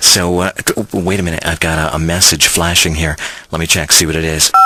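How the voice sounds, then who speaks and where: A man's very deep, low voice, monotone and flat, at a fairly quick pace over noticeable background noise. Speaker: country radio host. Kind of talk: radio show banter and interviews.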